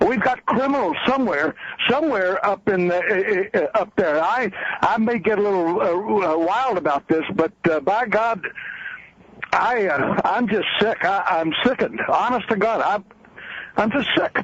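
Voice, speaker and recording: Noticeable background noise sits behind a high-pitched man with an American accent. His loudness stays very even at a moderate pace. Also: ordinary pitch variation. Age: 70s. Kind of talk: call-in talk radio. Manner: halting, many repetitions; emotional.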